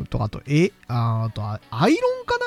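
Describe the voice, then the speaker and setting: A man speaks over noticeable background noise. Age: 20s. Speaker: podcast host. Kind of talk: casual solo podcast monologue. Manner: chatty, frequent laughter.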